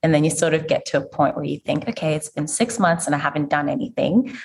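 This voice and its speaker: This woman has a very deep, low pitch and sounds somewhat breathy. Her intonation is lively. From Zimbabwe. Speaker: physiotherapist and podcast host. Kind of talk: interview conversation.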